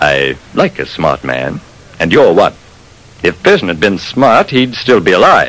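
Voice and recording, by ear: A man puts on a character voice, low-pitched and fairly bright in tone. He talks at a fairly slow pace with big pitch swings.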